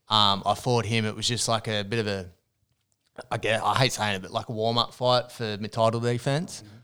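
A man talks at a fairly quick pace in a bright, sharp tone with monotone, flat intonation, recorded very cleanly against a silent background. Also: medium pitch for a man. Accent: Australian. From New South Wales, Australia (Hunter region). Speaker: ex-boxer and online personal trainer. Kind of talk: casual chat. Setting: studio.

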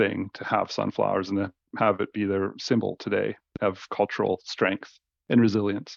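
A man's fairly low voice with a Canadian accent at a moderate pace, dry and close with no echo and a quiet background. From Northern British Columbia and Victoria, Canada. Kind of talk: casual interview. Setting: video call. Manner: animated, laughing often.

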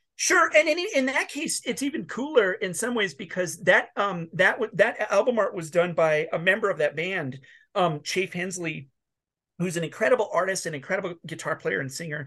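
A man speaks in a raised, projected voice pitched high for a man, with very wide pitch swings, a bright, sharp tone, a moderate pace and a quiet background. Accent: American. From North Dakota, US Midwest. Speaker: musician. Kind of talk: casual chat. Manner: animated.

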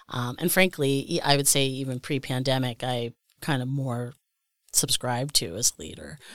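A woman with an American accent and a very deep, low pitch is heard in a very clean recording with a silent background and a dry, close sound with no echo. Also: ordinary pitch variation, moderate pace. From Pennsylvania, Scranton. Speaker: arts executive. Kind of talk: casual interview.

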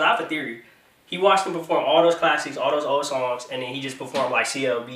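A man with a fairly high pitch races along at a very fast pace over noticeable background noise. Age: 20s. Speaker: podcast host. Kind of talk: casual chat. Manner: animated.

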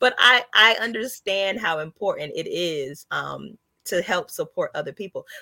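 Speaking at a moderate pace with a slight Southern US accent, a woman sounds dry and close with no echo. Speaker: comedian. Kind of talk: casual chat.

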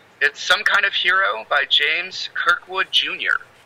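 A man speaks with an American accent. The sound is dry and close with no echo, though noticeable background noise comes through. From Michigan. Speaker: author. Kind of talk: casual chat.

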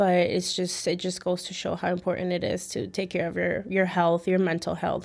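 With a Chicago accent, the speaker uses vocal fry and a monotone, flat intonation at a moderate pace. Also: woman, fairly low pitch for a woman. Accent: Chicago American English. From Chicago, West Town and Midway area. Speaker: personal trainer. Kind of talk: interview.

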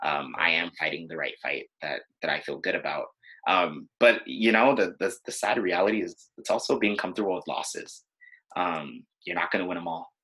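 A man at a moderate pace, with a Californian accent. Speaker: former student body president. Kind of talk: interview conversation.

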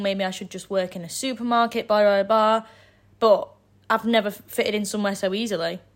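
In a Yorkshire accent, a woman speaks at a moderate pace and medium pitch. Her intonation is monotone and flat. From northern England, Sheffield area. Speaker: university student. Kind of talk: casual interview.

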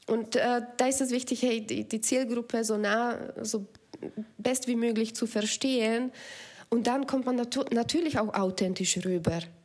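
Speaking with a Slovak accent, a woman with a fairly high voice keeps a fairly slow pace, fairly even intonation and very even loudness. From Slovakia. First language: Slovak (speaking German). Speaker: app founder. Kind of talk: casual interview.

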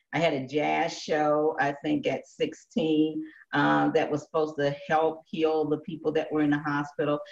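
Speaking at a moderate pace, a woman keeps her very deep, low voice at a very even loudness with a monotone, flat intonation. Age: 70s. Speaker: radio talk show host. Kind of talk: interview.

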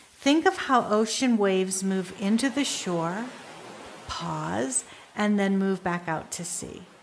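A woman's calm, soothing tone with lively intonation, at a very slow pace over noticeable background noise. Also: medium pitch for a woman. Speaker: meditation teacher and wellness center founder. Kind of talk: guided meditation with breathing instruction. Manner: slow, soothing pace with gentle repeated cues; calm, nurturing, softly encouraging.

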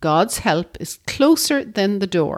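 Here a woman speaks with an Irish accent. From Ireland. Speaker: podcast co-host. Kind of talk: reading aloud.

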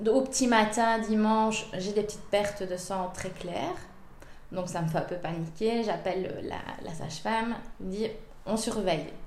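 Over noticeable background noise and audible room echo, a woman talks at a fairly slow pace in a medium pitch with ordinary pitch variation. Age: 30s. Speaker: mother of a premature baby. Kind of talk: personal testimony. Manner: hesitant, many fillers.

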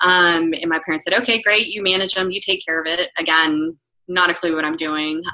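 Fairly low in pitch, a woman talks in an unremarkable speaking voice. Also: fairly even intonation. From North Carolina. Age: 30s. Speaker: real estate broker and investor. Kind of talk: interview.

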